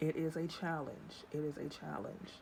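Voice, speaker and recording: A woman with a very deep, low pitch and a dark, mellow tone speaks at a moderate pace in a flat monotone. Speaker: YouTuber.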